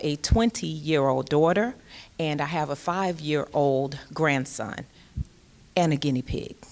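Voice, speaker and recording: A woman's very deep, low voice at a fairly slow pace with ordinary pitch variation. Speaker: jail commander, sheriff's major. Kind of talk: panel talk at public forum. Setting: stage with audience, microphone. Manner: loud.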